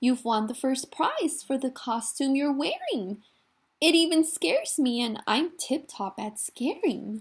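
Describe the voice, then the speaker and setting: At a fairly slow pace, a woman uses a put-on character voice pitched high. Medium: read story. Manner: friendly, cheerful.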